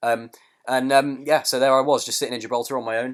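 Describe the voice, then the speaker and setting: Speaking at a very fast pace, a man with a British accent keeps to a medium pitch. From UK. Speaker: comedy podcast host. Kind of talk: comedic podcast banter. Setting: online call. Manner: halting, many fillers and repetitions.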